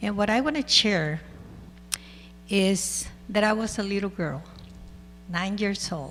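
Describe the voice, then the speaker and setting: Noticeable background noise sits behind a woman speaking fairly slowly at medium pitch with ordinary pitch variation. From El Salvador. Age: 60s. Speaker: school board president. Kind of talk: public meeting remarks. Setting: school board meeting.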